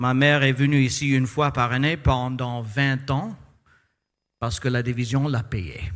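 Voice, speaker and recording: A man with a non-native accent at a fairly slow pace, ordinary pitch variation and audible room echo. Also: medium pitch for a man. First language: English (speaking French). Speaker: pastor. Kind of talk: sermon. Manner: halting.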